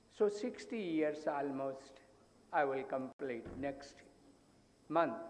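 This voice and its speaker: In a room with audible echo, a man speaks very slowly at a fairly high pitch. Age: 80s+. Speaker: psychologist. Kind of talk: conference talk.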